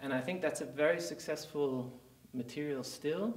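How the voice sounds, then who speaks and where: In a German accent, a man speaks at a moderate pace amid audible room echo. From Germany. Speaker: company CEO. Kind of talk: interview. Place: studio.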